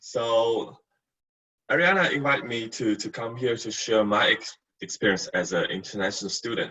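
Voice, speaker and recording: A man with a Chinese accent speaks at a moderate pace and medium pitch, his tone bright and sharp, with long, frequent pauses. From China. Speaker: university staff, former international student. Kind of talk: webinar testimony. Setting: online webinar. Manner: halting, many fillers and repeats.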